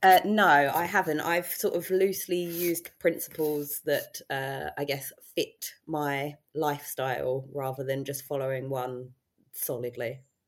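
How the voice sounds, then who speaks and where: With a southern English accent, a woman speaks at a fairly slow pace in a very deep, low pitch with ordinary pitch variation. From southern England. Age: 30s. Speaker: weight loss success story guest. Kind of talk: casual interview.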